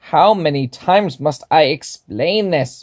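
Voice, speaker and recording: A put-on character voice from a man, fairly high in pitch and fairly slow. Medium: read story. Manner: pompous, formal.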